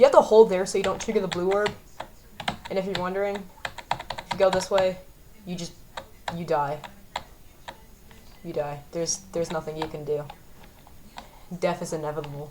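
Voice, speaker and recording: A woman with a fairly low pitch talks at a fairly quick pace in a relaxed tone, her loudness swinging widely and her pitch varying in an ordinary way, with long, frequent pauses over noticeable background noise. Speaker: gaming youtuber. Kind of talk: gameplay commentary. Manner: stammering, self-correcting; casual, relaxed.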